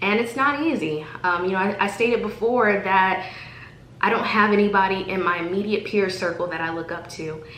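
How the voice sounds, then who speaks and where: Speaking at a moderate pace, a woman with a medium pitch and ordinary pitch variation is heard with audible room echo and noticeable background noise. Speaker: vlogger. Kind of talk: motivational vlog monologue. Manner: halting.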